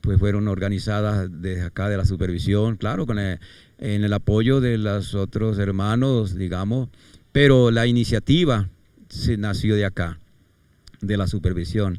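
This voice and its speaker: In a very clean recording with a silent background, a man speaks at a fairly slow pace in a fairly low pitch with a dark, mellow tone. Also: ordinary pitch variation. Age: 70s. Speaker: retired pastor. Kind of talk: life story interview. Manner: halting.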